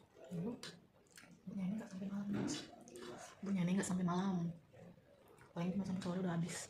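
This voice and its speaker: Amid noticeable background noise and audible room echo, a medium-pitched woman talks at a very fast pace with fairly even intonation and long, frequent pauses. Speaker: vlogger. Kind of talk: casual vlog talk to camera. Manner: soft-spoken, not loud. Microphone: voice too quiet, no external mic.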